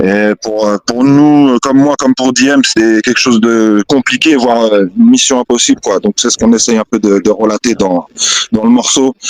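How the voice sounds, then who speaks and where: A man of medium pitch speaks at a moderate pace with ordinary pitch variation and very even loudness, in a dry, close sound with no echo. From Essonne, France. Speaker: rapper. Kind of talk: interview answer. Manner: casual, hesitant.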